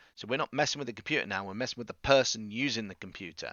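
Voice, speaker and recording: Very fast, fairly low male voice in an English accent with ordinary pitch variation. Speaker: teacher. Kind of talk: recorded video lesson. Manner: casual, conversational.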